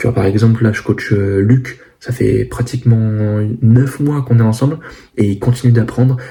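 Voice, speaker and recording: Soft-spoken, a man talks at medium pitch and a moderate pace with fairly even intonation, with noticeable background noise behind him. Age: 20s. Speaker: fitness coach and vlogger. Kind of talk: casual vlog to camera. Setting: at home, parents' house. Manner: hesitant, many fillers.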